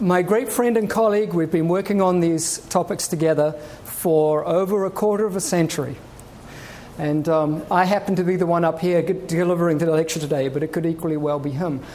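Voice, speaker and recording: Pitched high, a man talks at a fairly quick pace with ordinary pitch variation. Room echo is audible, along with noticeable background noise. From New Zealand. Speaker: research oceanographer. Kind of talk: public lecture. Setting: stage with audience.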